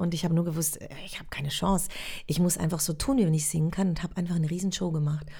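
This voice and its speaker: A woman with a fairly low voice talks very fast, sounding somewhat breathy, with audible echo in the room. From Switzerland. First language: Swiss German (speaking German). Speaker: actress. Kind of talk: casual interview. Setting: acting school in Zurich.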